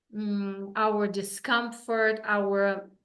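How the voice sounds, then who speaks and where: A woman with a Russian accent speaks at a medium pitch in monotone, flat intonation. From Russia, Saint Petersburg. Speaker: wellness coach. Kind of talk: interview.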